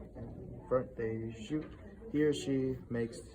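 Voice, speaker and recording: The voice is shaky and moves at a very slow pace. Room echo is audible. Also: man. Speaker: student. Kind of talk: reading aloud. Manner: shaky voice.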